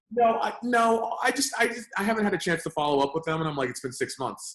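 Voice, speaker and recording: Loud and animated, a man talks at a very fast pace in a high pitch with very wide pitch swings. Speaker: lead generation business owner. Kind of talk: casual interview.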